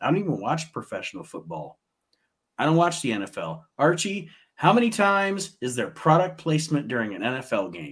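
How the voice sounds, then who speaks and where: This man has vocal fry and a fairly high pitch, talking at a moderate pace with very wide pitch swings and big swings in loudness on a very clean recording with a silent background. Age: 40s. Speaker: wrestling podcast host. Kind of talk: casual chat.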